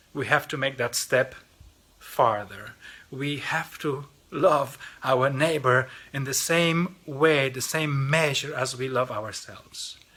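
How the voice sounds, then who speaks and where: A man speaks at a very slow pace with a Polish accent, his pitch fairly high. His tone is bright and sharp, and his intonation stays fairly even. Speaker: lay mission organization representative. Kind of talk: mission appeal talk. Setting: recorded video. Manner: halting, with repetitions.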